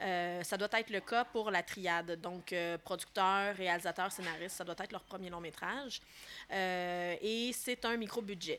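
A woman's bright, sharp tone at a medium pitch, with fairly even intonation and a moderate pace. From Quebec, Laurentides. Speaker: film director. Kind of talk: casual interview.

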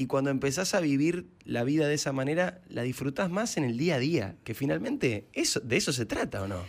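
A man's fairly high voice in a Rioplatense accent, with vocal fry, lively intonation and hardly any pauses. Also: fairly quick pace, very clean recording, silent background. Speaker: radio host. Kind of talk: casual interview. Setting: radio studio. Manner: animated.

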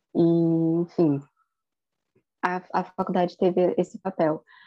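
Her voice is fairly low in pitch. The woman keeps her intonation fairly even. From Rio de Janeiro, Campo Grande (West Zone). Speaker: language teacher, podcast co-host. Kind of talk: casual chat.

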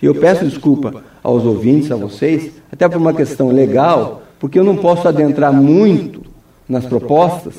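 The man's tone is dark and mellow. His intonation is lively and his pace moderate. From Brazil, Foz do Iguaçu (Paraná). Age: 50s. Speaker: mayoral candidate, lawyer. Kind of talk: radio interview. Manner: hesitant, many fillers.

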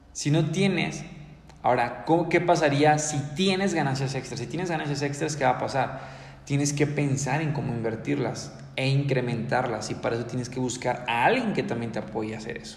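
A man with a fairly high pitch speaks in an energetic tone at a moderate pace, with ordinary pitch variation. Audible room echo and noticeable background noise surround the voice. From Mexico, Ciudad Victoria, Tamaulipas. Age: 20s. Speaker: entrepreneurship podcaster. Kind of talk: motivational monologue. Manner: energetic, halting with repetitions.

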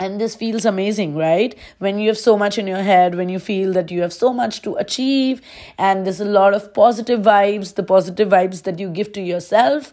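On a very clean recording with a silent background, a woman uses an ordinary speaking voice at a medium pitch, moderate pace and ordinary pitch variation. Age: 20s. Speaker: podcast host. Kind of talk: casual monologue.

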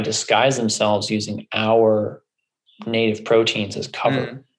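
A man with an American accent talks in an ordinary speaking voice at a medium pitch and a fairly slow pace. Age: 30s. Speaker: functional medicine doctor. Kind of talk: interview conversation.

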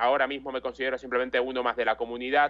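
A man's medium-pitched voice, monotone and flat throughout. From Ecuador, moved to Spain at nine. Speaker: football video game content creator. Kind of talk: interview.

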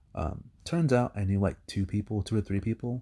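This man's fairly low, somewhat breathy voice has a dark, mellow tone and a dry, close sound with no echo. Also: very clean recording, silent background. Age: 30s. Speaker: podcaster. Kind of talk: solo monologue. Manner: rambling, hesitant with many fillers.

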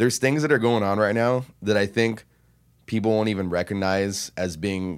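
A man with a normal speaking voice, fairly low in pitch, at a moderate pace, with ordinary pitch variation, on a very clean recording with a silent background. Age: 20s. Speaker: podcast producer. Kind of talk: casual chat.

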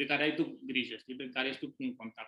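A man's ordinary speaking voice, fairly high in pitch, with fairly even intonation. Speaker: podcast host, business owner. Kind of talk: casual interview.

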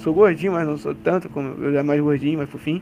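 Here is a man with a plain, everyday voice. His pitch is fairly high, with ordinary variation. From Rio de Janeiro, Brazil. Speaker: basketball content creator. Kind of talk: casual chat.

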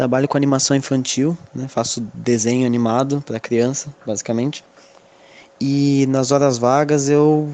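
With a dark, mellow tone, a man speaks at a fairly slow pace and medium pitch in a monotone, flat intonation. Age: 20s. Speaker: animator. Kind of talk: recorded voice message.

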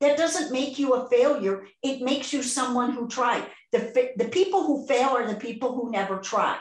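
A woman's high-pitched voice with a Chicago accent at a moderate pace. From US Midwest, Chicago southwest side. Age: 60s. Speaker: podcast host. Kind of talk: casual interview chat. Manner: animated.

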